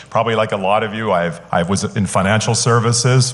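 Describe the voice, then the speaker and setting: With a Canadian accent, a man speaks at a medium pitch in an animated, enthusiastic tone with ordinary pitch variation, amid audible room echo and noticeable background noise. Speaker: sales consultant, conference speaker. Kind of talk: conference keynote talk. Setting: stage with live audience. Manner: frequent filler words (uh, um).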